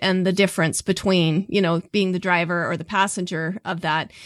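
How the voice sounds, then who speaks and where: In a normal speaking voice, a woman with an American accent talks at a moderate pace and medium pitch, recorded dry and close with no echo on a very clean recording with a silent background. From US, southeast Idaho. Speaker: podcast host. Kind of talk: interview.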